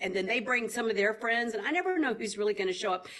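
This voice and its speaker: A woman's fairly high voice in a Southern US accent, animated, with very wide pitch swings. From Tennessee. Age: 60s. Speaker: actress. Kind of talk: interview.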